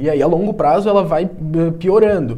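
A man's dark, mellow tone with audible room echo. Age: 20s. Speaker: physical education teacher and personal trainer. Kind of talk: casual podcast interview, streamed live.

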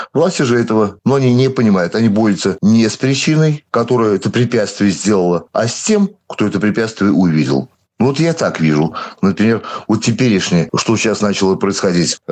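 A man with a plain, everyday voice, fairly low in pitch, at a moderate pace with lively intonation and very even loudness. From Belarus (moved from Siberia at 7). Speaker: local protest activist. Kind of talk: interview.

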